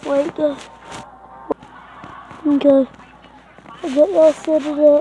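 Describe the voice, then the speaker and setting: Over noticeable background noise, a woman with a high voice speaks very slowly and fairly evenly, pausing long and often. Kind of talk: casual gaming tutorial talk. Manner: hesitant, rambling.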